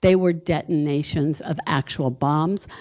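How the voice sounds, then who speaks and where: A dark, mellow tone in an American accent, with ordinary pitch variation, on a very clean recording against a silent background. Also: woman. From Utah, Salt Lake City. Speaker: downwinder advocate, panelist. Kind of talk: panel presentation.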